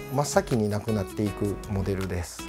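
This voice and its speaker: A man talks at a moderate speed while clear music sounds behind him. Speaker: vintage lantern repair shop owner. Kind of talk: interview answer. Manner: casual. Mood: relaxed, friendly explaining. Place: shop.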